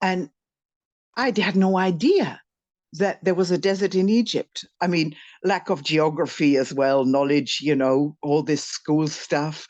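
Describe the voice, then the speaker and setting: A plain, everyday voice from a woman, fairly low in pitch, with ordinary pitch variation, fairly slow pace and very even loudness over a quiet background. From Canada. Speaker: spiritual teacher. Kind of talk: casual interview conversation. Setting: in France, conversation with interviewer.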